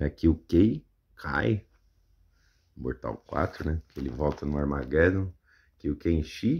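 The voice has vocal fry and moves at a very slow pace with long, frequent pauses. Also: man. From Brazil. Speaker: YouTuber. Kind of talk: casual show-and-tell commentary. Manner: animated, exclamatory, laughing. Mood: amused, self-mocking. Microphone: phone near.

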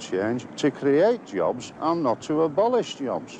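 A man with a Lancashire accent at a fairly high pitch, very slow pace and very wide pitch swings, with noticeable background noise and a dry sound with no echo. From northern England. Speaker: union convener. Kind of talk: interview. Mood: earnest, measured. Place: open country.

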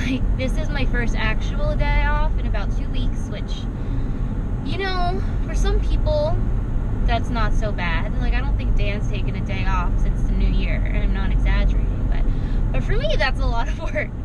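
Recorded dry with no echo, a woman speaks at a moderate pace over loud background noise. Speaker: vlogger. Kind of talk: casual vlog chat. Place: car. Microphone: phone near.

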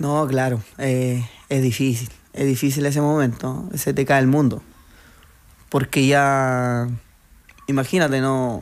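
A man speaks at a very slow pace with long, frequent pauses. His intonation is fairly even and his loudness very even. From Chile, Santiago area (Puente Alto); Chile. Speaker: transplant footballer; guest. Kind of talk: radio interview. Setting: radio studio. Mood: warm, reflective. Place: studio. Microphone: studio mic.

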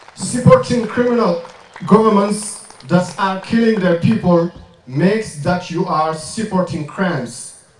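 There is audible room echo and light background noise. A man with a high voice and a French accent speaks at a fairly slow pace with ordinary pitch variation. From Mauritania. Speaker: activist and rapper; speaker. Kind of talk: protest speech. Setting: outdoor demonstration with crowd. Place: stage.

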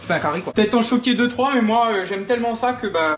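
Faint music plays behind a man with a high-pitched voice who talks at a fairly quick pace amid audible room echo. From Réunion. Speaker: home cook. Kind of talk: humorous cooking video narration. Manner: joking, casual. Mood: playful, joking. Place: kitchen.

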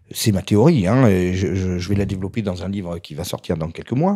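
With a quiet background, a man's voice comes across in a dark, mellow tone. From Corsica. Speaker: essayist; interview guest. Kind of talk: interview. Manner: fast; energetic. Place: home room. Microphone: handheld.

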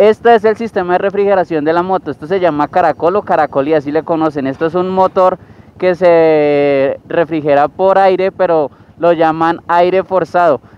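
A man with a high voice talks at a moderate pace with fairly even intonation, and the sound is dry with no echo. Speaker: motorcycle reviewer. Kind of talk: casual review vlog. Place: street. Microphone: helmet.

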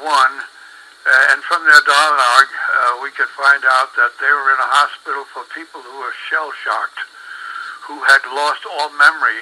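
Noticeable noise fills the background as a man talks at a moderate speed. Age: 80s+. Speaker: former radio director. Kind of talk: interview answer.

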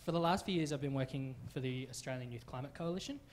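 This man's voice is somewhat breathy, and his intonation stays fairly even. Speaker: witness. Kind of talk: public presentation. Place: hall. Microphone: handheld.

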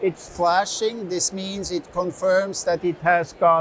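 A man with a high voice speaks in a flat monotone over light background noise. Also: dry sound with no echo. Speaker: exhibitor demonstrating product. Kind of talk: product demonstration. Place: hall.

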